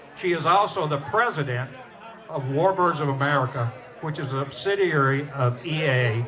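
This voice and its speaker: A man with a Southern US accent speaks at a fairly high pitch with ordinary pitch variation. Noticeable background noise and audible room echo are present. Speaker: storyteller and former Air Force pilot. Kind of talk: stage talk to audience. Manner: conversational, folksy.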